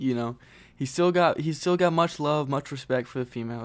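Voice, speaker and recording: A man at a fairly high pitch and moderate pace, with ordinary pitch variation. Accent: American. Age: 20s. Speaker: podcast host. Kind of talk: casual solo podcast chat. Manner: casual, laid-back.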